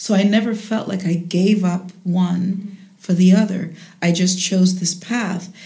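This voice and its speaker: Amid noticeable background noise, a woman talks fairly slowly at a medium pitch, her intonation monotone and flat. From Jamaica, later raised in the United States. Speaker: jazz singer and voice teacher. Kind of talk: interview.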